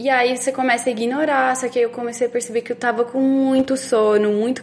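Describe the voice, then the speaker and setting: The woman's intonation holds fairly even. Her voice sits high. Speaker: podcast co-host with type 1 diabetes. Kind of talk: casual chat.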